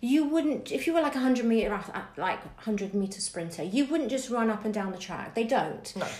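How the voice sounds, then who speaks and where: A woman with a southern English accent talks at a fairly quick pace in a fairly high voice with lively intonation, with noticeable background noise and audible room echo. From southern England, Bournemouth area. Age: 40s. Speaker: dance teacher and podcast co-host. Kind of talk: casual interview.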